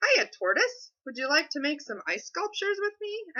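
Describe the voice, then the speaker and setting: A woman puts on a character voice at an extremely high pitch, swinging very widely in pitch at a moderate pace. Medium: read story. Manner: cheerful.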